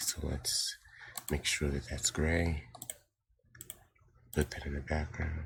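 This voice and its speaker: A man talks quietly at a fairly slow pace. His very deep, low pitch stays monotone and flat. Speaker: digital art tutorial youtuber. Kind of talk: tutorial. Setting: home recording early morning. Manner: quiet, hushed to avoid waking family; hesitant, many fillers. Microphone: poor mic quality.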